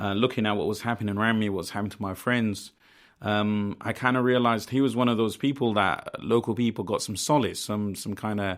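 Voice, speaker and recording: A man's fairly low voice in a Birmingham accent, at a fairly quick pace. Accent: Birmingham (Brummie) English. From Birmingham, England (Lozells), family from Bangladesh. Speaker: community organiser. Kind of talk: interview. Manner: hesitant, many fillers.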